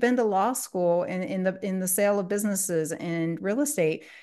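With a Midwestern American accent, a woman talks at a moderate pace with a medium pitch and lively intonation against a quiet background. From US Midwest, Columbus, Ohio area. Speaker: structured settlement consultant. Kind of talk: podcast interview.

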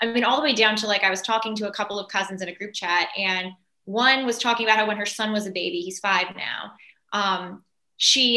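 A bright, sharp tone at a very fast pace, with ordinary pitch variation. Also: woman. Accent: Californian. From Los Angeles. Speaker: entertainer. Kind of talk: casual chat.

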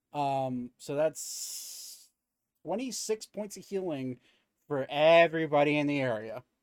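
This man has a normal speaking voice, fairly high in pitch, with ordinary pitch variation and big swings in loudness. He talks at a fairly slow pace, and the sound is dry and close with no echo. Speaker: game master running a tabletop role-playing podcast. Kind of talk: casual tabletop roleplaying game session with narration. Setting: online stream with remote players. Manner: casual, chatty.

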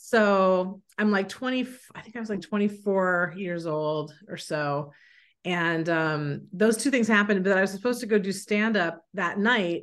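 Speaking at a fairly slow pace, a woman with an American accent has a medium pitch against a quiet background. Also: ordinary pitch variation. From San Francisco, US. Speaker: screenwriter. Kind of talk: interview. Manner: halting.

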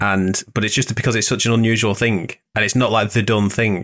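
In a northern English accent, a man talks at a fairly quick pace with a playful tone and fairly even intonation. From northern England. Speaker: podcast host and wedding photographer. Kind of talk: casual interview chat. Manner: joking, playful.

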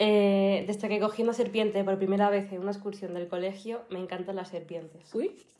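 Talking at a fairly quick pace, a woman has a dark, mellow tone. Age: 20s. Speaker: fitness influencer and student. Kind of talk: interview.

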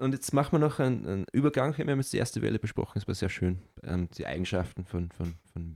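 Dry and close with no echo, this very clean recording with a silent background has a man speaking fairly quickly with lively intonation and a dark, mellow tone. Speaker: podcast co-host. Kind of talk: casual chat.

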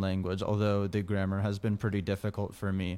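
A plain, everyday voice from a man with an American accent, fairly low in pitch. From United States. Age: 20s. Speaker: programmer and meme page admin. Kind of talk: interview.

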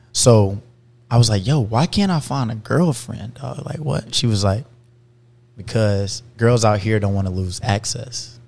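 The speech runs at a fairly slow pace with ordinary pitch variation. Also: man, medium pitch for a man. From South Carolina. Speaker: athlete. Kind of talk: casual chat. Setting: studio.

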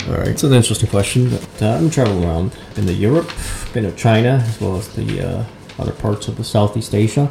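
Over noticeable background noise, a man talks at a very fast pace in a fairly low pitch with ordinary pitch variation. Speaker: marketing director and entrepreneur. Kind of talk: casual interview.

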